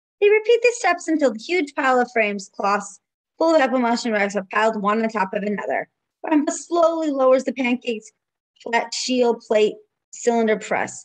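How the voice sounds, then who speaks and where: In a quiet background, a woman's high-pitched, warm voice has a sing-song, lively intonation at a moderate pace. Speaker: preschool teacher. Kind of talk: children's story time, reading a picture book aloud. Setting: home video recording. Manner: warm, sing-song and engaging with young children. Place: home room. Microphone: webcam.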